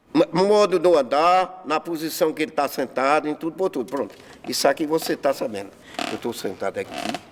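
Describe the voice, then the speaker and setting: A man with a fairly high pitch talks at a fairly quick pace with lively intonation over noticeable background noise. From Paraíba, Brazil (Campina Grande area). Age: 70s. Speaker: farmer and local eccentric. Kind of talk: documentary interview. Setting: seated interview.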